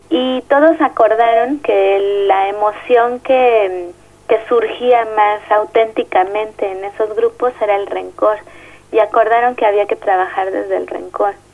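A woman with a Mexico City accent, fairly high-pitched and fairly slow, with music in the background. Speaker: social psychologist. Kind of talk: interview. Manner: halting.

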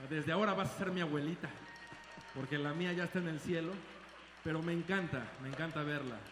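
Over background music and audible room echo, a man with a fairly high pitch speaks in an animated tone. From Mexico. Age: old. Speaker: salsa band singer. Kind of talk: live concert stage banter. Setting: stage with audience.

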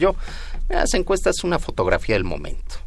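Audible room echo hangs on the voice of a man as he talks. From Mexico, Nezahualcóyotl, State of Mexico. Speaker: politician, election candidate. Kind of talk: radio interview.

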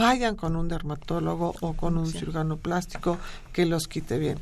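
On a very clean recording with a silent background, a woman uses an unremarkable speaking voice, fairly low in pitch and fairly slow in pace. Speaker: dermatologist. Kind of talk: radio interview.

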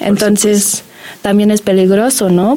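A woman with a medium-pitched voice talks over noticeable background noise. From Germany. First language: German (speaking Spanish). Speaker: graduate student in biology. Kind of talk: radio interview.

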